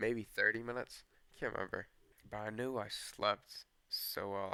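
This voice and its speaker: Shaky and monotone, a man speaks with flat intonation and a bright, sharp tone. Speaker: storyteller. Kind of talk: casual storytelling. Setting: outdoors on a porch. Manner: shaky voice.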